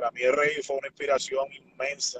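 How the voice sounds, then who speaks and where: A man's voice with a dry, close sound and no echo. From Puerto Rico, south (Ponce). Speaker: professional wrestler. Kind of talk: interview.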